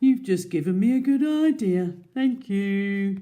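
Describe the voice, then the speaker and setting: Putting on a character voice, a woman speaks at a fairly slow pace and a medium pitch. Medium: read story. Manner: playful, mischievous.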